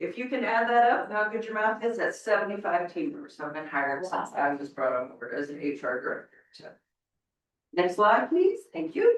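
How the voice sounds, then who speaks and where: A woman's fairly high voice with vocal fry, very wide pitch swings, big swings in loudness, and a moderate pace. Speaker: HR director. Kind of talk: board meeting presentation.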